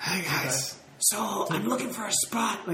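In a whispering, put-on character voice, the speaker goes at a fairly slow pace over clear background noise.

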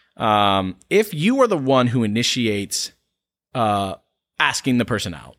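In an unremarkable speaking voice with an American accent, the speaker talks at a fairly slow pace with lively intonation and big swings in loudness, on a very clean recording with a silent background. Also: man, medium pitch for a man. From US South, North Carolina. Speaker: podcast co-host. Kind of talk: sponsor read; casual chat.

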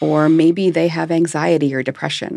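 Speaking at a fairly slow pace with vocal fry, a woman's very deep, low voice keeps a fairly even intonation. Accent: American. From US Midwest, Michigan. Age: 50s. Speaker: hypnotherapist. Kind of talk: interview. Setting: studio.

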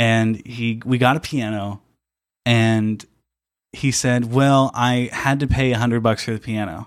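A man's medium-pitched voice with a Midwestern US accent, at a fairly slow pace with fairly even intonation, on a very clean recording with a silent background. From southern Indiana. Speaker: analog photographer. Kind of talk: casual interview chat.

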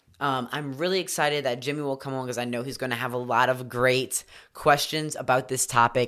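A bright, sharp, animated tone on a very clean recording with a silent background. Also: man. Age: 30s. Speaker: fitness coach and podcast host. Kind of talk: casual solo podcast talk.

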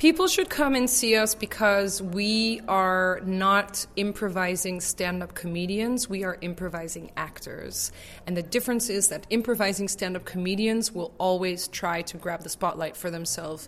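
Here is a woman with an American accent and an unremarkable speaking voice, at medium pitch with ordinary variation. She moves at a moderate pace with hardly any pauses. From Netherlands, raised in the US. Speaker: improv actor. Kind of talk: interview.

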